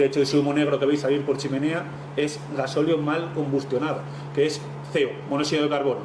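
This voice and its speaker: Over noticeable background noise and audible room echo, a man talks very fast at a fairly high pitch in a monotone, flat intonation. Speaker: technical presenter, marine engine equipment. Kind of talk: technical presentation.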